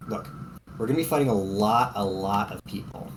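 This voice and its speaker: Amid noticeable background noise, a man with a Boston accent talks at a fairly quick pace with ordinary pitch variation. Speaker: tabletop role-playing game player. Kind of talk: in-character role-play. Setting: Discord voice call.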